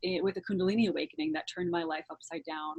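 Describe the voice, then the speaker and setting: Her intonation is lively as the woman talks at a medium pitch in a somewhat breathy voice. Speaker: actor. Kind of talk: interviewer, casual conversation.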